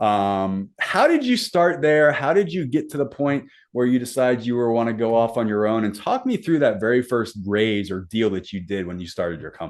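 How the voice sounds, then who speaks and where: A man speaks in an unremarkable speaking voice at a medium pitch. His intonation is lively, with hardly any pauses. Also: fairly quick pace. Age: 40s. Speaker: podcast host. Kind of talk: interview.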